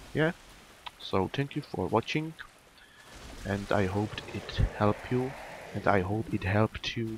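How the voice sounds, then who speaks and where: A man with a non-native accent, ordinary pitch variation and long, frequent pauses. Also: fairly low pitch for a man, fairly slow pace. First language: not English. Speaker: gaming YouTuber. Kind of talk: gameplay tutorial commentary. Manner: halting, many fillers.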